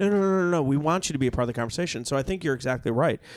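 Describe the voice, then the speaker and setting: A man's voice with ordinary pitch variation. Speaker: podcast host. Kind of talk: casual chat. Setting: cigar shop.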